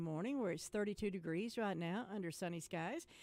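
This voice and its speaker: A woman with a North Carolina accent speaks at a very fast pace. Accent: Southern US (North Carolina). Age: 60s. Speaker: radio host. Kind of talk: casual radio chat.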